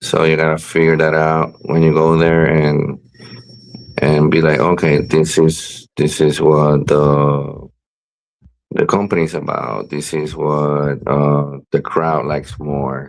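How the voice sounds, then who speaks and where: A man speaks with a Spanish accent at a very deep, low pitch. His delivery is very slow, with monotone, flat intonation. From Puerto Rico. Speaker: professional wrestler. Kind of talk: interview. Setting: live-streamed video show. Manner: halting, many fillers and repeats.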